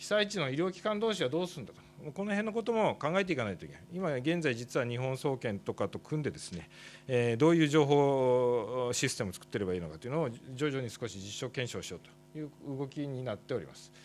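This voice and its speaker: Talking at a very fast pace, a man swings very widely in pitch and greatly in loudness over light background noise. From Japan. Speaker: doctor and professor; professor. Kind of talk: conference presentation. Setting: workshop stage with audience. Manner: formal; halting with fillers. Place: hall. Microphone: podium.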